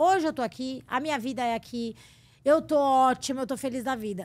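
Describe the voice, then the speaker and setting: In a very clean recording with a silent background, a woman speaks with high pitch and lively intonation. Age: 40s. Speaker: theme park guide and former TV producer. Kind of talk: casual interview chat.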